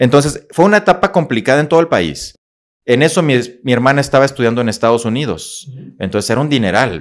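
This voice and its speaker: A man talks very fast in a northern Mexican accent, with a medium pitch and vocal fry. His intonation is lively, and the background is quiet. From Mexico, Coahuila (Monclova, Saltillo); Coahuila, Mexico. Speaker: motivational speaker and psychologist; motivational speaker. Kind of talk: interview, life story. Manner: animated. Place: studio. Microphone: studio mic.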